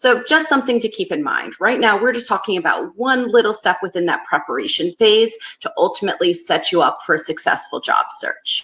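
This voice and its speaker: A woman speaks with a Northeastern US accent. She hardly pauses at all. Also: fairly quick pace. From US Northeast. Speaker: career advice presenter. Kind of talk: webinar presentation. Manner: fast; loose enunciation.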